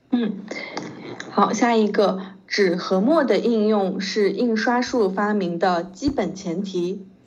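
At a very slow pace, a woman speaks at a medium pitch with ordinary pitch variation, with audible room echo and noticeable background noise. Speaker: Chinese language tutor. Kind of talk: language lesson. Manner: slow, patient.

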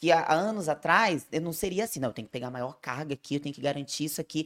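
Talking at a very fast pace, a woman uses lively intonation with vocal fry. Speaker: nutritionist and podcast host. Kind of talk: casual chat.

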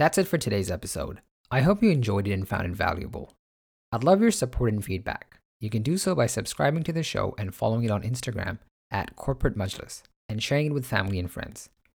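In a very clean recording with a silent background, a man talks at a very fast pace in a medium, somewhat breathy voice with very wide pitch swings. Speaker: podcast host. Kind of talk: interview conversation.

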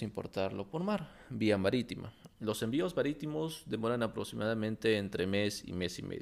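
On a very clean recording with a silent background, a man with a fairly low pitch speaks in a normal speaking voice at a moderate pace, with lively intonation. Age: 30s. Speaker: industrial engineer and import business content creator. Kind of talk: solo podcast monologue.

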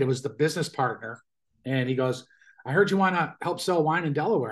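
A man talks at a very fast pace with an American accent. His fairly high pitch shows ordinary variation. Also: quiet background. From Buffalo, New York. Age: 60s. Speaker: chef and rock guitarist. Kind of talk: casual interview. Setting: video call.

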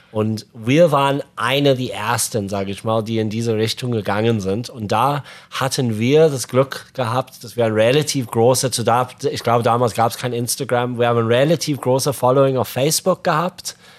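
A man talks at a medium pitch with an English accent and ordinary pitch variation. His pace is moderate, with hardly any pauses. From Zimbabwe (Harare). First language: English (speaking German). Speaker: podcast co-host, fishing company founder. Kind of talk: casual chat. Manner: halting, non-native German.

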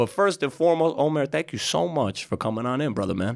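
Animated in tone, a man talks at a very fast pace with lively intonation. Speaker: podcast host and investor. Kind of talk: casual interview.

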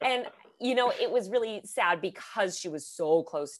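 A woman with a Californian accent and lively intonation. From Southern California. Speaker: podcast host, guest co-host. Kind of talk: casual chat. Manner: animated.

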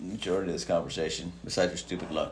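A man at a very fast pace, with audible room echo. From Mexican heritage. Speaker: podcast co-host. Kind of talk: casual chat.

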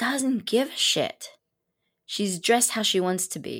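Over a silent background on a very clean recording, a woman talks with vocal fry. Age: 50s. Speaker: designer and small business owner. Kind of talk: casual interview. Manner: friendly.

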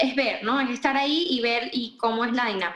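A woman's voice, high in pitch. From Venezuela, Caracas. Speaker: wedding photographer. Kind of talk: interview. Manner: animated.

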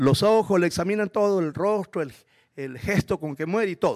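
An animated man's high voice at a fairly quick pace, dry and close with no echo, in a very clean recording with a silent background. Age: 60s. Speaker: guest preacher. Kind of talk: sermon.

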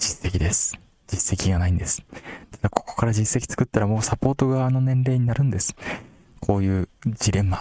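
With long, frequent pauses at a moderate pace, a man speaks at fairly low pitch with ordinary pitch variation in a dry, close sound with no echo. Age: 30s. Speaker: podcast host selling teacher products. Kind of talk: casual solo talk.

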